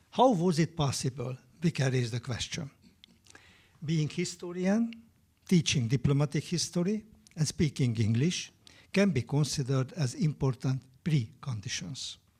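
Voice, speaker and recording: With a Hungarian accent, a man speaks at a moderate pace in a dark, mellow, somewhat breathy voice, using lively intonation and long, frequent pauses. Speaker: historian. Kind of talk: panel talk. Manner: halting; formal.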